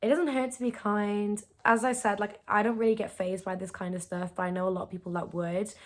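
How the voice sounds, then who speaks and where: At a moderate pace, a woman with a British accent speaks at a medium pitch with ordinary pitch variation. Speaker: YouTuber. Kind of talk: reaction video, casual monologue. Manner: loud; animated.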